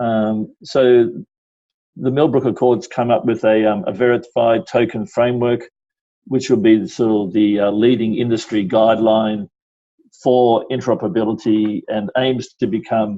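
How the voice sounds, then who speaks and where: A man speaks with an Australian accent at a medium pitch. His pace is moderate and his pitch variation ordinary. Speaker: stock exchange executive. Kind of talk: interview. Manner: halting, many fillers.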